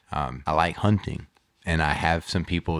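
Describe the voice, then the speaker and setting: Vocal fry from a man at a moderate pace, with fairly even intonation. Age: 40s. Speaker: podcast host, martial arts practitioner. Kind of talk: casual chat.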